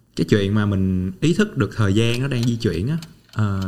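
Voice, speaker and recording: An ordinary speaking voice from a man, fairly low in pitch, with lively intonation at a moderate pace. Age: 20s. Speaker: podcast host. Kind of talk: interview; scripted intro. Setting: studio.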